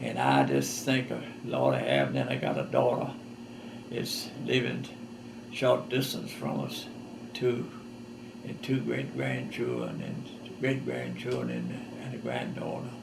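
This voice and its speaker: The speaker has a Southern US accent and talks at a fairly slow pace with long, frequent pauses. There is audible room echo and noticeable background noise. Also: man. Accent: Southern US rural. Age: 80s+. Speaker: war veteran. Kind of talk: testimony. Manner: halting.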